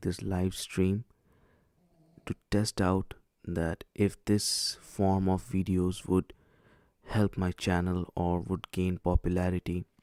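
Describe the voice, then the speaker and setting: A man with an Indian accent speaks at a very slow pace, leaving long, frequent pauses, his intonation monotone and flat. His very deep, low voice has a dark, mellow tone and a dry, close sound with no echo. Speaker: streamer. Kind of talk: live stream chat. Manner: hesitant.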